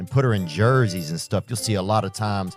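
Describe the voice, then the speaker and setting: Over music in the background, a man with a Southern US accent talks at a moderate pace in a fairly low pitch. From Louisiana, Southern US. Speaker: stand-up comedian and podcast host. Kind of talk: comedic podcast storytelling. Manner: casual, rambling, humorous.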